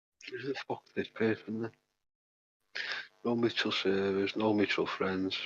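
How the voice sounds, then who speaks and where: A man speaks at a moderate pace in a fairly low pitch, with long, frequent pauses. His intonation stays monotone and flat. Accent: strong Mancunian. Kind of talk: casual chat.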